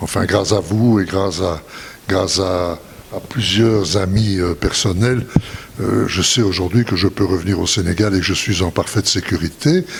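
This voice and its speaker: Over noticeable background noise, a man talks at a moderate pace in a very deep, low pitch, with fairly even intonation and very even loudness. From Belgium. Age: 80s+. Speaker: retired businessman. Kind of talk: interview testimony.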